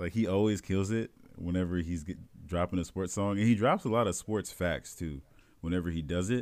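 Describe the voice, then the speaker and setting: A man with an American accent speaks at a moderate pace, his very deep, low pitch showing ordinary pitch variation. The recording is very clean, with a silent background. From US Midwest, South Bend, Indiana. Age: 20s. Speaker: podcast co-host. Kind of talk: casual chat.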